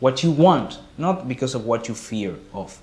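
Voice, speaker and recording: A man with lively intonation, at a fairly slow pace. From Argentina. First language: Spanish. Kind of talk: casual talk to camera.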